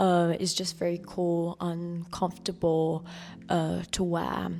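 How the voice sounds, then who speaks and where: Speaking at a very slow pace, a woman keeps a fairly low pitch and a monotone, flat intonation. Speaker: fashion vlogger. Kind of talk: casual chat. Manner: hesitant, many fillers.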